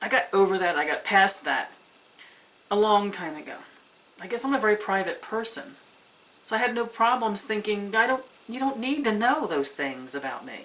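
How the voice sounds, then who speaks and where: A woman talks at a moderate pace with lively intonation and big swings in loudness. Long, frequent pauses break her speech over noticeable background noise. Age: 60s. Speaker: pagan video blogger. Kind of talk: casual vlog monologue.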